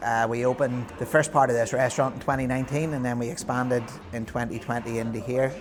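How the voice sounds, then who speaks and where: With an Northern Irish accent, a man talks at a very fast pace in a medium pitch. His intonation is fairly even, and music plays in the background. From Northern Ireland. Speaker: vegan restaurant owner. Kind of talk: interview.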